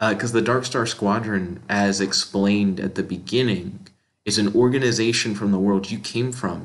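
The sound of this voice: Against a quiet background, someone reads in an unforced reading voice.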